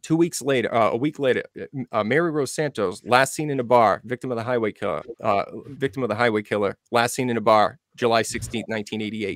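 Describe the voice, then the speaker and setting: A man's plain, everyday voice at a medium pitch and a fairly quick pace, with ordinary pitch variation, dry with no echo, over a quiet background. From Massachusetts, New Bedford area; Massachusetts. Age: 40s. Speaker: true crime researcher; guest. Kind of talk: casual interview. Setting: video call. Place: home room. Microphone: studio mic.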